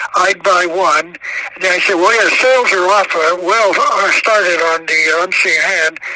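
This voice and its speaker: A man's voice, high-pitched for a man, with fairly even intonation at a moderate pace, over noticeable background noise. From Arizona. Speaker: author. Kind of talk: interview. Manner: halting.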